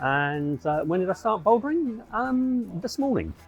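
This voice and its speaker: Through noticeable background noise, a man speaks at a moderate pace. His pitch swings very widely. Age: 60s. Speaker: climber. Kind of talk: interview.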